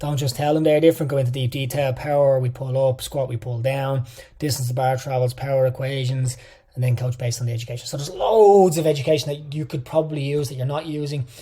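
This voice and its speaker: A man's dark, mellow, somewhat breathy voice at a very fast pace. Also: medium pitch for a man. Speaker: fitness coach educator. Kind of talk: lecture. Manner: animated.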